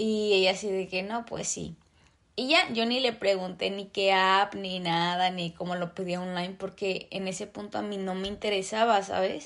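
A woman speaks with a Mexican accent at a moderate pace, medium in pitch. Her intonation is fairly even against a quiet background. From Mexico. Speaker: podcast host. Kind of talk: casual monologue.

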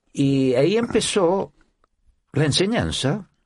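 This man's voice carries vocal fry and swings very widely in pitch. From Chile. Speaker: orchestra conductor. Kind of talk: interview. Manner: halting.

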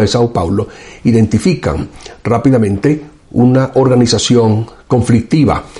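A man's unremarkable speaking voice at medium pitch, fairly slow, with ordinary pitch variation. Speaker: professor and show host. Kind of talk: political commentary monologue.

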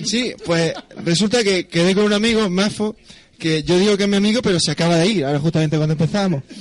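A man's high-pitched voice at a very fast pace, with ordinary pitch variation and noticeable background noise. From Andalusia, Spain (Almería/Granada). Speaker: astrophysicist and musician. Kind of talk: casual chat. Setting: bar with live audience.

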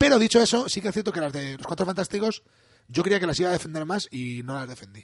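A very fast, high-pitched male voice full of very wide pitch swings and big swings in loudness. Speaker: podcast co-host. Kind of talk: casual chat.

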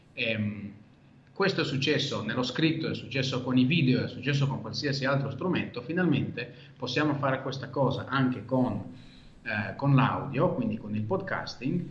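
Moderate-paced speech from a man at medium pitch with ordinary pitch variation, audible room echo and noticeable background noise. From Israel. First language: Hebrew (speaking Italian). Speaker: podcaster. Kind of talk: interview conversation.

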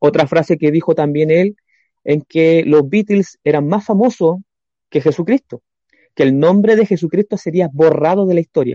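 With an unremarkable speaking voice, a man talks at a moderate pace in a fairly high pitch, showing ordinary pitch variation and very even loudness. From Chile, Coronel. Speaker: church planter. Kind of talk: religious talk show discussion. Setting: video call.

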